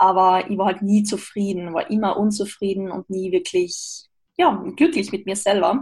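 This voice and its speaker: The woman's voice is somewhat breathy, with a medium pitch. She keeps a moderate pace and ordinary pitch variation. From Austria. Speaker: mental coach and podcaster. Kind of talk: interview.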